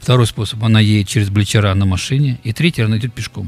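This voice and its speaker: Over music in the background, a man speaks very fast with fairly even intonation. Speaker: concert promoter. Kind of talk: interview.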